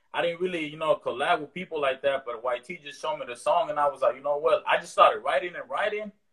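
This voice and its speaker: A man with an American accent, very fast, with big swings in loudness. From East Oakland, California (part of childhood in Mexico). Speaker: rapper. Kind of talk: casual interview. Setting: video call. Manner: relaxed, halting with fillers.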